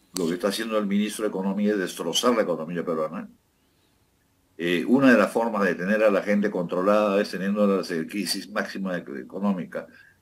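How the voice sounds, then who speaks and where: At a moderate pace, a man talks at a fairly low pitch with ordinary pitch variation. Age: 60s. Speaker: former politician. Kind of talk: political interview. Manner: hesitant, many fillers.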